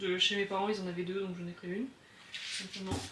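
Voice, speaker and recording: A woman speaks while noticeable noise is heard in the background. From southern France. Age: 20s. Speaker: hobby potter. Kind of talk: casual studio tour talk to camera. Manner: calm.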